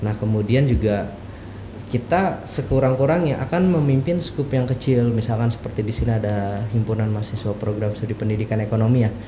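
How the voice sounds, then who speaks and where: A man's medium-pitched voice with a strong Jakarta accent, at a fairly quick pace with ordinary pitch variation, amid audible room echo and noticeable background noise. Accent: strong Betawi. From Jakarta, Betawi. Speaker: university lecturer. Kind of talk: podcast interview.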